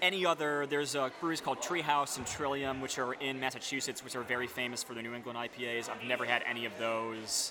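Over noticeable background noise, a man with an American accent and a medium pitch speaks very fast with fairly even intonation and hardly any pauses. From upstate New York. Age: 30s. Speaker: beer writer. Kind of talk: casual interview. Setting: brewery taproom, rain in background.

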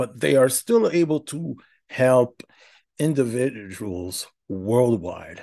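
A man's medium-pitched, dark and mellow voice, very slow in pace, with very wide pitch swings. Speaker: podcast host. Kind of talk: solo monologue about personal experience. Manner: halting, many filler words; candid, reflective.

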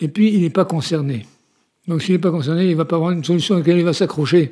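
Talking at a very fast pace, a man with a high pitch uses ordinary pitch variation. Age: 70s. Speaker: retiree living with Parkinson's. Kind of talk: interview testimony. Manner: halting, with repeated words.

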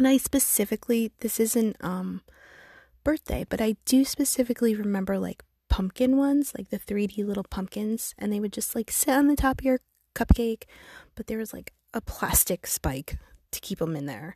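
A woman with a fairly high voice and a dark, mellow, somewhat breathy tone speaks at a moderate pace with lively intonation and big swings in loudness. The sound is dry and close with no echo, over a quiet background. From New England. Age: 40s. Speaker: podcast host. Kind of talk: casual chat. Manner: animated.

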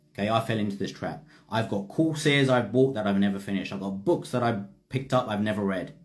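Very fast speech from a man amid audible room echo. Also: fairly low pitch for a man, ordinary pitch variation. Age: 40s. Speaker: spiritual teacher. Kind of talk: livestream talk.

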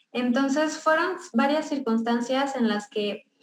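Music sits in the background. Over it, a woman speaks at a moderate pace. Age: 20s. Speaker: beauty business owner. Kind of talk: testimony.

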